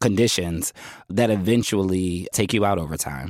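Recorded very cleanly against a silent background, a man in a normal speaking voice talks at a moderate pace, his fairly low pitch varying in an ordinary way. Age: 30s. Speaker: writer. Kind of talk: interview.

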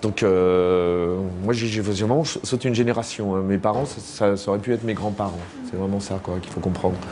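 With music playing in the background, a man speaks at a moderate pace in a fairly low voice with fairly even intonation. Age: 50s. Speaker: comic book author. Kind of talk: public interview. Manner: halting.

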